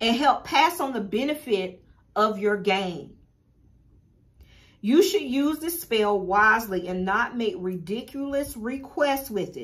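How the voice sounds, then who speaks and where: This woman, with an American accent, has a fairly high pitch and very wide pitch swings, and she speaks at a fairly slow pace. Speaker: spiritual teacher and shop owner. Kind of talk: tutorial.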